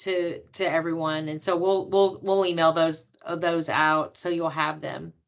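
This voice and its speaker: Bright and sharp in tone, a woman speaks at a moderate pace with an American accent and monotone, flat intonation. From Texas. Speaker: loan officer. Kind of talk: educational webinar.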